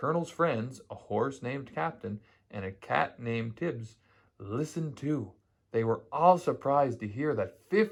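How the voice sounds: Lively intonation runs through the speech. It's a natural reading voice.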